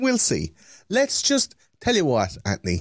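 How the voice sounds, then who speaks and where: In an Irish accent, a man speaks in an animated tone with very wide pitch swings, in a dry, close sound with no echo. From Ireland. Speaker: podcaster. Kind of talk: casual chat. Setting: video call.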